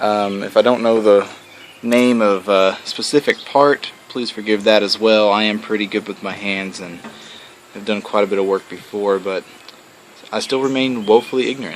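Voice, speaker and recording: A man with a Southern US accent talks at a moderate pace in a fairly low voice. His intonation is fairly even, and there is noticeable background noise. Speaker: hobbyist moped restorer, IT worker. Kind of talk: casual video blog walkthrough.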